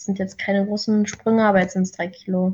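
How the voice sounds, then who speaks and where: A woman speaks at a medium pitch, somewhat breathy. Her intonation is monotone and flat. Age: 20s. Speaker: coaching client. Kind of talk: casual chat.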